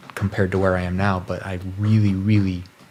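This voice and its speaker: Noticeable background noise sits under a man's voice. His pitch is very deep and low, and his intonation is monotone and flat. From rural ranch upbringing, small town. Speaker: interview guest, technologist. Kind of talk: reflective interview conversation. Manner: halting, many fillers and repetitions.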